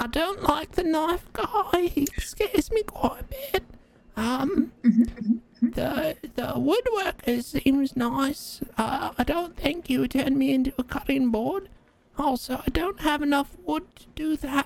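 She puts on a character voice, pitched high. The pace is fairly slow. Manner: nervous, frightened.

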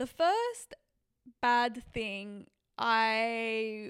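A woman speaks with a Sydney accent and a fairly high pitch. The recording is very clean, with a silent background. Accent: Australian (Western Sydney). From Western Sydney, Australia. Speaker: podcast host. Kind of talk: casual monologue. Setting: on a couch, not at home.

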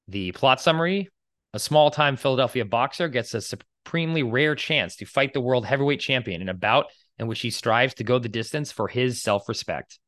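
Quick-ish and lively in intonation, a plain, everyday voice speaks with an American accent at a fairly quick pace. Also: man, medium pitch for a man. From Boston, US. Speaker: podcast co-host. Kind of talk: casual chat.

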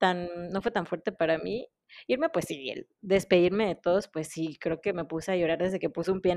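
A woman speaks in a normal speaking voice at medium pitch. Her pace is fairly quick and her intonation fairly even. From Mexico. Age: 30s. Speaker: dentist and former au pair. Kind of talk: casual chat.

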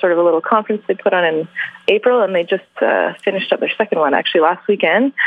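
With a Canadian accent, a woman talks at a medium pitch with ordinary pitch variation amid noticeable background noise. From Vancouver, Canada. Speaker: journalist and author. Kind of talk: interview.

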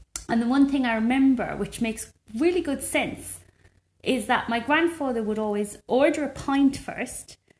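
A woman with an Irish accent speaks at a high pitch with ordinary pitch variation. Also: moderate pace. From rural Ireland. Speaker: podcast co-host. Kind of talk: casual chat.

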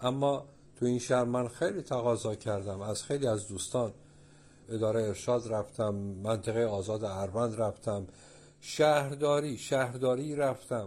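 With a normal speaking voice, a man talks at a moderate pace and medium pitch, using ordinary pitch variation. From Iran, Abadan (Khuzestan). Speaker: painter and sculptor. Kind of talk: interview. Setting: at home in his studio.

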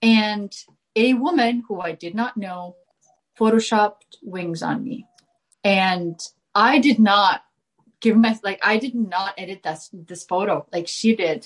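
A woman with an Estonian accent speaks at a fairly slow pace and medium pitch, with long, frequent pauses and big swings in loudness. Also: ordinary pitch variation. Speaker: filmmaker and motorcycle racer. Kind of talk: casual chat.

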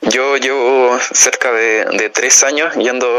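A man speaks over noticeable background noise. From Chile, Choapa province. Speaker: journalism student. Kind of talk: radio interview. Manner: halting, many repetitions.

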